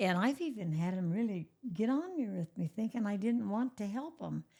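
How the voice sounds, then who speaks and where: A woman speaks with lively intonation in a dark, mellow tone. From Oklahoma. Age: 90s. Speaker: elderly interviewee, church pianist. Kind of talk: casual interview, life stories.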